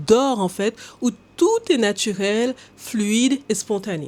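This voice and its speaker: Her voice fairly high in pitch, this woman talks with an English accent. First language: English (speaking French). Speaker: language coach. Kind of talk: educational talk to camera. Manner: hesitant with filler sounds.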